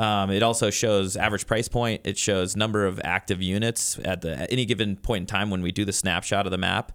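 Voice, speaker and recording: Speaking at a fairly quick pace with hardly any pauses, a man with an American accent uses a plain, everyday voice, fairly low in pitch, with fairly even intonation. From Colorado (Crested Butte). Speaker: real estate managing broker. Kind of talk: radio interview. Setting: studio.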